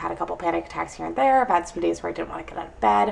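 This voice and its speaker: A woman speaks with an American accent amid noticeable background noise. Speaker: vlogger. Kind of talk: casual vlog monologue.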